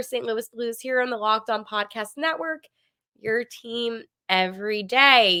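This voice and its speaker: A woman's high, bright, sharp voice moves at a moderate pace. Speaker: sports podcast host. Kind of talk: sports podcast monologue.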